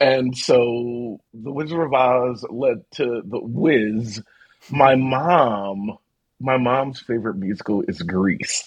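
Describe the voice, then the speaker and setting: Speaking very slowly, a man with an American accent uses a medium pitch and ordinary pitch variation. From South Philadelphia, US. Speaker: theatre director and archivist. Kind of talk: casual chat.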